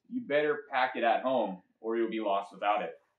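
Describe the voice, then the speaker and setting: A man's fairly slow speech carries audible room echo. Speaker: presenter. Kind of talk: children's sermon. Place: garage. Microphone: camera far.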